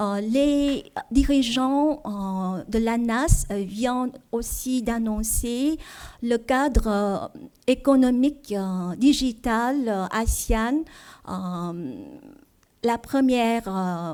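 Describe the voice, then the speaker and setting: At a very slow pace with long, frequent pauses, a woman with a Vietnamese accent speaks at a fairly high pitch in a dark, mellow tone with lively intonation. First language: Vietnamese (speaking French). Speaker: diplomat, trade official. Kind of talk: seminar presentation. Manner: halting, many fillers.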